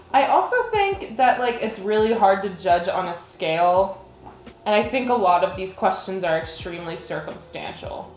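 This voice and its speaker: Music plays behind a woman as she talks. The room echo is audible. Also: medium pitch for a woman, ordinary pitch variation, moderate pace. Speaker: college student. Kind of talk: casual interview. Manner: loud.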